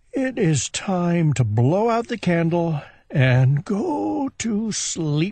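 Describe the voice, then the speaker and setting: A man's put-on character voice, high-pitched and very slow, with very wide pitch swings over a quiet background. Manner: sleepy.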